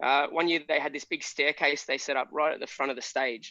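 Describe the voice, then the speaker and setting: A man with an Australian accent talks at a fairly quick pace in a bright, sharp tone, his intonation flat and monotone. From Australia, Shepparton, Victoria. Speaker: pub band musician. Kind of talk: casual chat.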